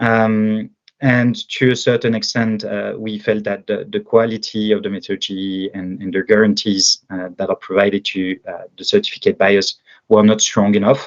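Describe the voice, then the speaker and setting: Speaking at a moderate pace with a French accent, a man with a fairly low pitch keeps his intonation fairly even while his loudness swings widely, against a quiet background in a dry, close sound with no echo. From France. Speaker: agritech startup founder. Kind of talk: interview. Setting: podcast. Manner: halting, many fillers.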